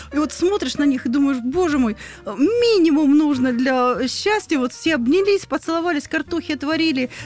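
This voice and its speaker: Over noticeable background noise, a woman speaks at a high pitch and a moderate pace with ordinary pitch variation. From Rostov region, southern Russia. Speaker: podcast host, psychotherapist. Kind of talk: casual interview chat.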